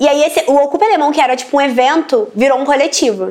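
A woman's high voice at a very fast pace, over noticeable background noise. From Brasília periphery, Brazil. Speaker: journalist. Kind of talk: interview monologue. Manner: casual, filler-heavy.

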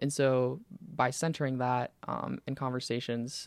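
In a very clean recording with a silent background and a dry, close sound with no echo, a man with an American accent and an unremarkable speaking voice talks at a medium pitch with fairly even intonation. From US South, Pensacola, Florida. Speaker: university student senator. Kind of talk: casual interview chat.

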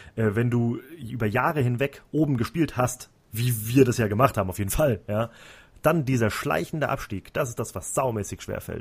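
Somewhat breathy and at a fairly quick pace, a man talks with ordinary pitch variation on a very clean recording with a silent background. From Central Hesse, Germany. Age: 30s. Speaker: football podcast host. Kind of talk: casual chat.

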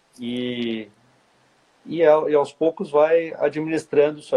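This man's voice has a dark, mellow tone. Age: 40s. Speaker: orthopedic spine surgeon. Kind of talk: casual interview.

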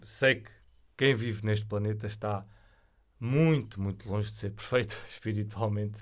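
A man with a European Portuguese accent speaks at a fairly low pitch, somewhat breathy, with fairly even intonation, big swings in loudness, and long, frequent pauses. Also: moderate pace. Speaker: podcast host. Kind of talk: solo monologue on spirituality. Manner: hesitant, many fillers.

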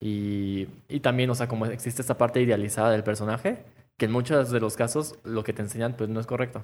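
A man with a Mexican accent speaks at a fairly quick pace. His medium pitch stays fairly even. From Mexico. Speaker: podcast co-host, architecture worker. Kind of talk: casual chat. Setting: wearing face mask.

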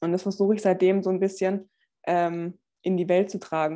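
Speaking at a moderate pace with a slight Swabian accent, the voice has a dark, mellow tone on a very clean recording with a silent background. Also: woman. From Swabia, Stuttgart area. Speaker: personal trainer and former track athlete. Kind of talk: podcast interview.

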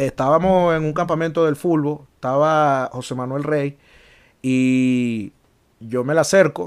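With a Caracas accent, a man speaks at a fairly high pitch with ordinary pitch variation and long, frequent pauses. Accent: Venezuelan Spanish (Caracas). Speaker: podcast co-host. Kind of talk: casual chat. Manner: animated.

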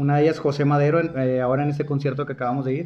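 A man with a fairly high pitch speaks in a monotone with flat intonation. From Mexico, Monterrey. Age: 20s. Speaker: podcast host. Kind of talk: casual chat.

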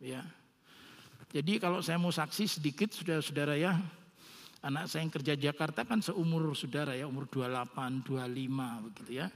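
This man has an unremarkable speaking voice with a fairly high pitch. He talks at a moderate pace with ordinary pitch variation. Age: 60s. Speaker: pastor. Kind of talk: sermon.

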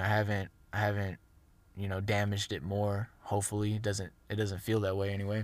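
In a very clean recording with a silent background, a man talks at a fairly quick pace in a normal speaking voice with a fairly low pitch. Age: 20s. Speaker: fitness podcast host. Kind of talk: casual solo monologue. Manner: conversational, many fillers and restarts.

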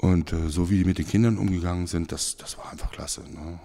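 A man's very deep, low voice has a dark, mellow tone and fairly even intonation. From Germany, moved from Switzerland at age 12. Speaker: church musician. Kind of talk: casual interview. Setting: church room.

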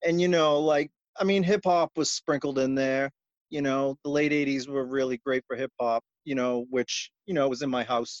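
The speaker has an American accent and a fairly slow pace. The sound is dry and close, with no echo. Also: man. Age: 40s. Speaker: punk musician. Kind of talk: casual chat. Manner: animated.

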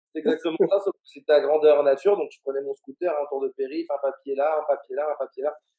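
A man with a normal speaking voice talks at a fairly quick pace. His pitch is fairly high, with ordinary pitch variation. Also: big swings in loudness. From Paris suburbs, France. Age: 30s. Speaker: entrepreneur, football agent school founder. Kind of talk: interview. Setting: remote from Paris.

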